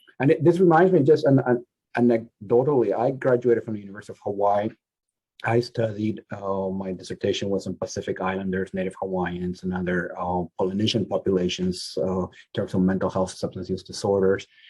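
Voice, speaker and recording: A man with a non-native accent, fairly low-pitched, dark and mellow in tone, at a fairly quick pace. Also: ordinary pitch variation. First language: not English. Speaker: social work professor. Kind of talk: panel discussion. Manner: halting.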